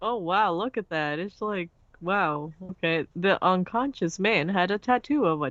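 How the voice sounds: What you hear is a natural reading voice.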